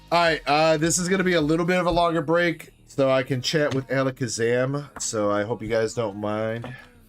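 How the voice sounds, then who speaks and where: Music plays in the background as a man speaks. His intonation is lively, with hardly any pauses. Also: moderate pace. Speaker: live stream host selling trading card packs. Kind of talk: live stream chat. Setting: live stream. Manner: casual, chatty.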